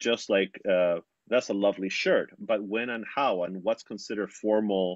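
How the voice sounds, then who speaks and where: Speaking with a Spanish accent, a man keeps a fairly low pitch and fairly even intonation at a fairly slow pace. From Chile, Santiago. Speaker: cellist and professor. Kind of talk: interview. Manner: halting.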